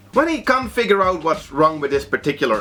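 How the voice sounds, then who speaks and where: With a Dutch accent, a man swings his pitch very widely while noticeable background noise runs underneath. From Netherlands. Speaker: movie reviewer. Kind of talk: video review commentary. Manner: hesitant, frequent word repetitions.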